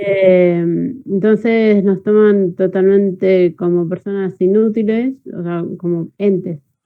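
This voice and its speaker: Intonation stays fairly even as a woman speaks at a medium pitch. Her pace is very slow. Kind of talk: online class discussion. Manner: halting.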